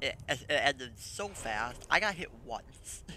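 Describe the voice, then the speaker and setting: A man's voice with a bright, sharp tone. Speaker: gaming guide creator. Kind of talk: gameplay tutorial commentary. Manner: halting.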